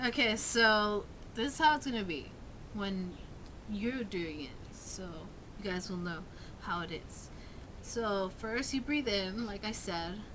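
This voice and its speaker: Mumbling at a fairly slow pace, a woman leaves long, frequent pauses. Her medium-pitched voice has lively intonation, and audible room echo surrounds it. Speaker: vlogger teaching screaming vocals. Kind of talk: casual tutorial. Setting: talking on camera. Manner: halting, many fillers.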